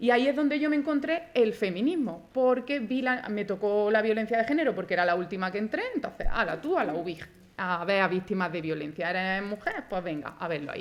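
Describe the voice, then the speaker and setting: Her voice fairly high, a woman talks with hardly any pauses and very wide pitch swings. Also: fairly quick pace. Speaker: forensic doctor. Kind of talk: conference talk. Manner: fast.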